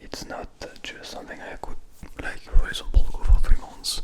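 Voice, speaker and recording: A man whispers with a strong French accent against noticeable background noise. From France. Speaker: ASMR creator, music student. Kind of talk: ASMR storytelling. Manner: soft-spoken; halting.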